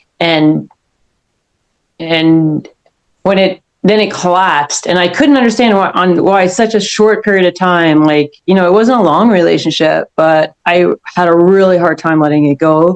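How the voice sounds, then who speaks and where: At a moderate pace, a woman speaks with a fairly low pitch, ordinary pitch variation and very even loudness. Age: 60s. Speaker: caller seeking spiritual guidance. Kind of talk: casual one-on-one conversation. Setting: call. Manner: halting, many false starts and fillers.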